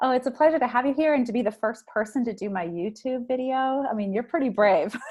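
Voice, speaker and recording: A woman's high voice at a very fast pace. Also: ordinary pitch variation. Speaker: podcast host. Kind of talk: podcast interview.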